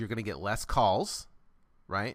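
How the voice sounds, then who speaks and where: In an animated tone, a man of medium pitch speaks at a moderate pace. The recording is very clean, with a silent background. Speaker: real estate investing coach. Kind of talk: live coaching call Q&A.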